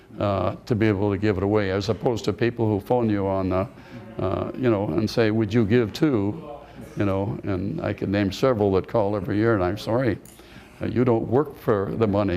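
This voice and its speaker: A man speaks in a fairly low pitch with ordinary pitch variation. Noticeable background noise is present. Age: 80s+. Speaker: service club member. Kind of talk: interview.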